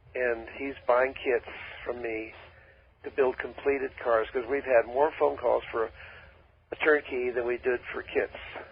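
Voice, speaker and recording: A man with an American accent speaks slowly and flatly in a medium pitch, leaving long, frequent pauses, while noticeable background noise carries on. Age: 80s+. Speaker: dune buggy designer and WWII veteran. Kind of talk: radio interview. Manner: halting.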